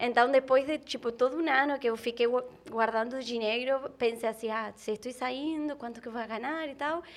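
The speaker has an Argentine accent and fairly even intonation. The recording is very clean, with a silent background. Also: woman, high pitch for a woman, moderate pace. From Argentina. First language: Spanish (speaking Portuguese). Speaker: travel content creator. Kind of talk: casual chat.

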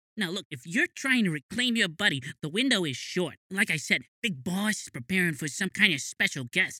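A put-on character voice with very wide pitch swings at a moderate pace. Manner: startled, streetwise.

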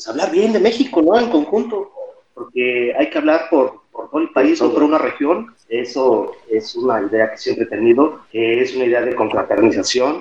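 A man with a Mexico City accent speaks at a moderate pace with hardly any pauses, his fairly high voice making very wide pitch swings. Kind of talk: casual chat. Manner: halting, repeats words.

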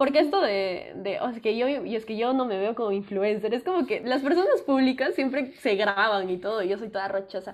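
A woman's fairly high voice with lively intonation, a fairly quick pace and hardly any pauses, against noticeable background noise. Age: 20s. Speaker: music student and singer. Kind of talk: casual chat. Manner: talkative; animated.

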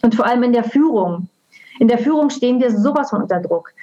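A woman with an unremarkable speaking voice and fairly high pitch talks at a fairly quick pace. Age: 40s. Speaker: coach. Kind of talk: interview.

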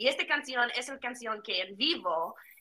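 A woman speaks with a non-native accent at a high pitch. Her pitch swings very widely. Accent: non-native Spanish speaker. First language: English (speaking Spanish). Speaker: podcast guest. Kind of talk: casual chat. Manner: halting.

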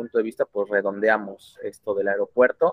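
A man's unremarkable speaking voice at a fairly quick pace, with ordinary pitch variation and a dry, close sound with no echo. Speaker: podcast host. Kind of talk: casual interview. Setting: call.

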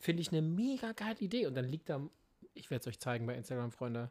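A man is speaking. His pitch swings very widely. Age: 30s. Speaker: podcast co-host. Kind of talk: casual chat. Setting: remote recording.

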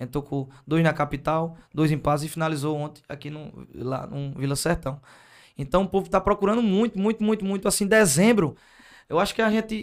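At a moderate pace, the speech rises and falls with lively intonation. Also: man, high pitch for a man. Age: 20s. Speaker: singer. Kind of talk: casual chat.

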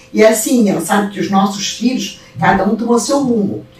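A woman's voice carries audible room echo. Noticeable background noise sits behind her. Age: 70s. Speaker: wallpaper and fabrics shop owner. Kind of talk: casual chat.

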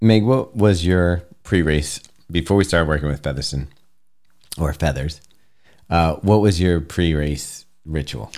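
With a very deep, low pitch and ordinary pitch variation, a man speaks at a fairly slow pace, taking long, frequent pauses. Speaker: running podcast co-host. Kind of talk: casual chat. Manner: jokey, humorous.

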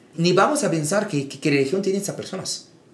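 A man talks at a fairly quick pace with very wide pitch swings. Audible room echo and noticeable background noise surround him. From Egypt. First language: Arabic (speaking Spanish). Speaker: imam. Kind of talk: interview.

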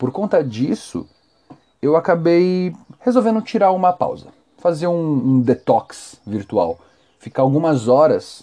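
Speaking in a Brazilian accent, a man has a dark, mellow tone. His pace is fairly slow and his pitch swings very widely. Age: 20s. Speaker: podcast host. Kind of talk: solo commentary podcast. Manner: talkative.

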